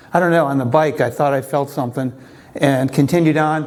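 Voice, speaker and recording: A man's fairly high voice, fairly even in intonation, with audible room echo. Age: 60s. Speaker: recreational triathlete and engineer telling his health story. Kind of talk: conference talk. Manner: halting with many fillers.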